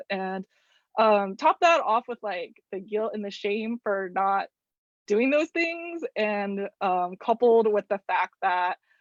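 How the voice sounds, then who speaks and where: In a plain, everyday voice, a woman speaks at a fairly high pitch with lively intonation. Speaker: visual artist leading a journaling workshop. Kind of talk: online workshop presentation.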